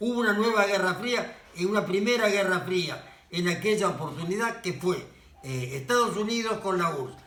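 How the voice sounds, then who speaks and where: A man's moderately paced speech, with ordinary pitch variation, carries audible room echo and noticeable background noise. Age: 80s+. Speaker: author and social activist. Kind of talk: casual monologue. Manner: halting.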